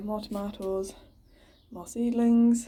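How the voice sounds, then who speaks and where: In an English accent, a woman speaks quietly at a moderate pace, her tone dark and mellow and her intonation fairly even. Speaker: gardening vlogger. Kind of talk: casual garden tour vlog. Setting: outdoors in garden and greenhouse.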